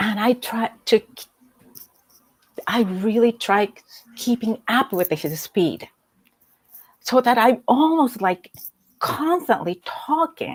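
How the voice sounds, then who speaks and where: A woman with a fairly high voice talks at a very slow pace, leaving long, frequent pauses. Her intonation is lively. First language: Japanese. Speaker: executive coach. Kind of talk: interview conversation. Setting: livestream video call.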